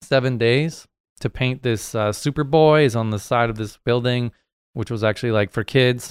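Recorded very cleanly against a silent background, a man with an American accent and an ordinary speaking voice talks at a moderate pace in a medium pitch with fairly even intonation. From New Hampshire, US. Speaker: muralist. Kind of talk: casual chat.

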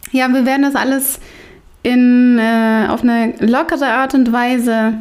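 A woman talks at a very slow pace. Her voice is fairly high, with fairly even intonation. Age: 30s. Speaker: podcast host. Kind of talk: casual chat.

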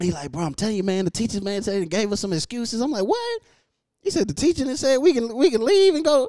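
Fast and with lively intonation, a man speaks at an extremely high pitch in a dark, mellow tone.

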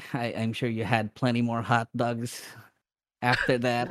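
A man's ordinary speaking voice, medium in pitch, at a fairly slow pace. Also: dry, close sound with no echo. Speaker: podcast host. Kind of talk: casual chat.

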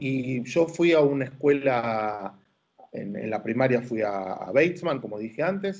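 Using an ordinary speaking voice, a man at a medium pitch talks fairly slowly with lively intonation. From Argentina, Buenos Aires. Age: 50s. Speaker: rabbi. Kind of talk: interview.

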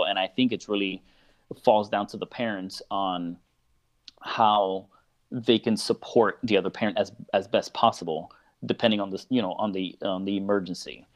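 With an American accent, a man talks at a moderate pace in a normal speaking voice pitched fairly low. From Miami, Florida. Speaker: parenting blogger and speaker. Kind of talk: casual interview. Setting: live video call.

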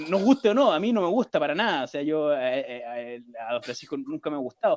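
A man's ordinary speaking voice, fairly high in pitch with lively intonation, at a moderate pace in a dry, close sound with no echo. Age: 30s. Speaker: podcast co-host. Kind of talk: casual chat.

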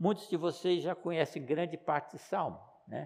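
The man's voice sits high in pitch. He talks at a moderate pace. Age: 70s. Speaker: pastor. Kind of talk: sermon.

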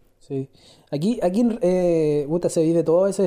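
A woman with a Chilean accent speaks at a fairly slow pace and a fairly low pitch, with a dark, mellow tone. Her pitch varies in an ordinary way against a quiet background. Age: 20s. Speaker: mine worker. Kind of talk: casual chat.

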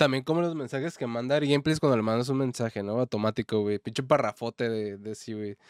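Speaking at a very fast pace, a man is heard in a very clean recording with a silent background and a dry, close sound with no echo. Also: medium pitch for a man, ordinary pitch variation. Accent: Mexican. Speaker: podcast co-host. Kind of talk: casual chat.

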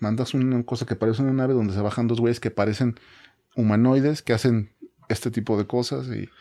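The tone is dark and mellow. Speech runs at a fairly quick pace with fairly even intonation. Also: man, medium pitch for a man. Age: 40s. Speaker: podcast guest. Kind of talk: casual chat.

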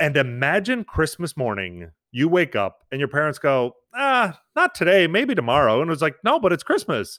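A man with an American accent speaks at a moderate pace with vocal fry. His fairly high pitch takes very wide swings. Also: hardly any pauses. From New York. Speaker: father and social media creator. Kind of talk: podcast interview.

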